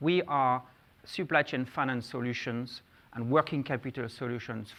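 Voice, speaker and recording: On a very clean recording with a silent background, a man with a French accent speaks at a moderate pace, his medium-pitched voice fairly even in intonation. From France. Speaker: conference speaker, fintech executive. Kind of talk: conference presentation.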